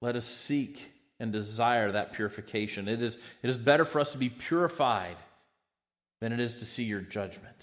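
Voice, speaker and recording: Over a very clean recording with a silent background, a man with an American accent and an unremarkable speaking voice talks at a medium pitch and moderate pace with ordinary pitch variation. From United States. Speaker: pastor. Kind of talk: sermon.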